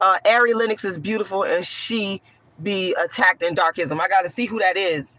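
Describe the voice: A woman speaks with a fairly low pitch and a hoarse voice, her tone bright and sharp, with ordinary pitch variation.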